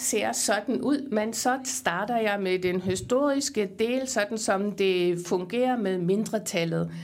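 The speaker is a woman with a fairly high pitch. She talks at a very slow pace. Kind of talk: formal conference speech / panel. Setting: conference hall with audience.

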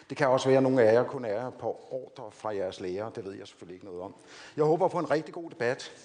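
Lively intonation, a very fast pace and big swings in loudness. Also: man, medium pitch for a man. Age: 50s. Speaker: defence committee chair, former lawyer. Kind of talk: lecture.

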